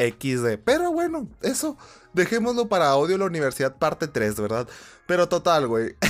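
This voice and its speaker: In a very clean recording with a silent background, a man with a high pitch talks at a moderate pace, his pitch swinging very widely. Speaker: gaming podcaster. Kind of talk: casual monologue. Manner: animated.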